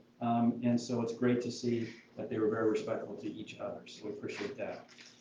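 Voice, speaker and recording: Fairly quick male speech with ordinary pitch movement, plus audible room echo and noticeable background noise. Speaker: school board member. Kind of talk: meeting announcements. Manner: fast.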